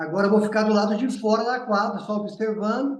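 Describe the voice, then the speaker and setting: Fairly even intonation at a fairly quick pace, with audible room echo. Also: man. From São Paulo state, Brazil (Jundiaí). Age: 60s. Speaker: basketball coach. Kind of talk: interview.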